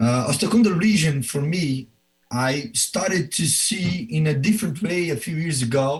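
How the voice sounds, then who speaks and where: A man with a Brazilian Portuguese accent speaks at a fairly slow pace in a fairly high pitch. His voice is somewhat breathy, with very wide pitch swings. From Brazil, Belo Horizonte. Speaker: professor and orthopedic surgeon. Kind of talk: presentation.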